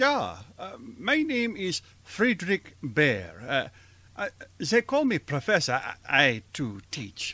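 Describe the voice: Using a put-on character voice, a man talks at a slow pace with a bright, sharp tone and very wide pitch swings. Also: fairly high pitch for a man.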